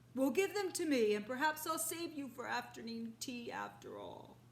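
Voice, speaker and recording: A woman does a loud, high-pitched, put-on character voice at a moderate pace over light background noise. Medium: read story. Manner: loud, blustering.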